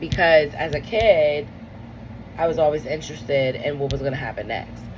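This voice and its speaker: A woman with a very deep, low pitch speaks in an animated tone. Audible room echo and noticeable background noise surround her voice. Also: ordinary pitch variation, moderate pace. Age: 30s. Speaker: comedian and podcast host. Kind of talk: solo podcast monologue. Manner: casual, animated.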